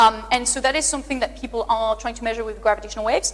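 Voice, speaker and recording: With a French accent, a woman speaks over noticeable background noise. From France, near the Pyrenees. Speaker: astrophysicist. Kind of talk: public lecture Q&A. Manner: animated.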